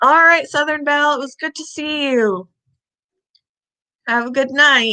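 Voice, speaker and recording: At a fairly slow pace, a woman with a high pitch and a bright, sharp tone uses a raised, projected voice with big swings in loudness and ordinary pitch variation. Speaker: pet channel livestreamer. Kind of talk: casual livestream chat.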